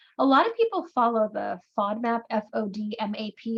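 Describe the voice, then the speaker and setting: Somewhat breathy, a woman speaks in a fairly high voice. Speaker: neurologist answering patient questions. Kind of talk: Q&A webinar. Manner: fast.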